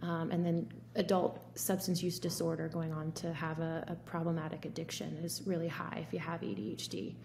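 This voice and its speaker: A woman's fairly low voice with vocal fry, a moderate pace and light background noise. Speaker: physician. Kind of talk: casual chat. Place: home room. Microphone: earbuds.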